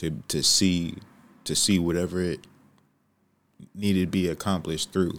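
With an American accent, a man talks at a moderate pace in a very deep, low voice, his intonation monotone and flat, with long, frequent pauses on a very clean recording against a silent background. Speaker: podcast host. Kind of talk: casual chat.

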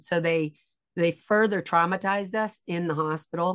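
Over a quiet background, a woman uses an ordinary speaking voice at a moderate pace, fairly low in pitch with fairly even intonation. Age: 50s. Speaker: educational psychologist and author. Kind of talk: interview about personal trauma.

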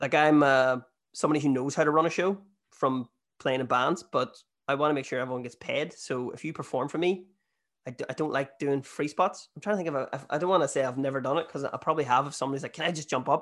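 This man talks at a very fast pace with a Northern Irish accent and fairly even intonation. His pitch is fairly high, over a quiet background. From Northern Ireland. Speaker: comedian. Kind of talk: casual chat.

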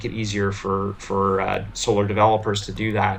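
In a Canadian accent, a man talks at a fairly slow pace with a fairly low pitch and flat, monotone intonation, and room echo is audible. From Ontario, Canada. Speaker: venture capital investor. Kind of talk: interview. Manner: hesitant, many fillers and repeats.

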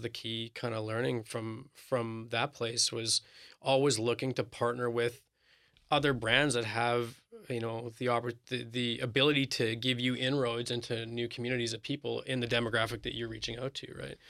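A man with a Canadian accent speaks at a moderate pace in a medium pitch, his bright, sharp tone delivered in a flat monotone. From Winnipeg, Canada. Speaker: marketing professional and TV style host. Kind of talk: interview.

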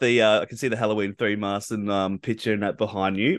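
A man with an Australian accent and a fairly low pitch. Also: quiet background. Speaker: podcast host. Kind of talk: casual interview. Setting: remote call. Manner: halting, many fillers.

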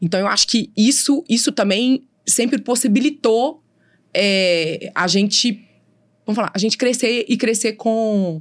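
A woman speaks at a fairly slow pace in an unremarkable speaking voice, her pitch fairly high. Her loudness stays very even, with ordinary pitch variation. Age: 40s. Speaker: lawyer. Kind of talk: interview.

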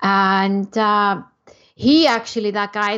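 A woman at medium pitch with an Icelandic accent, over a quiet background. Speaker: entrepreneur. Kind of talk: interview.

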